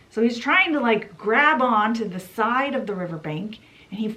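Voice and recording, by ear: Someone reads aloud in a natural voice, and the intonation stays lively.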